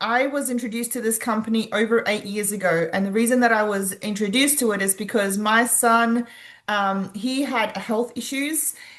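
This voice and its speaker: An Australian accent at a moderate pace with ordinary pitch variation and a quiet background. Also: woman. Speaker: wellness product distributor. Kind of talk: sales presentation.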